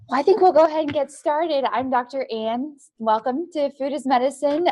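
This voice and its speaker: A woman speaks at a fairly quick pace. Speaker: doctor teaching a nutrition class. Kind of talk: lecture. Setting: clinic classroom at a podium. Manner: fast; informal.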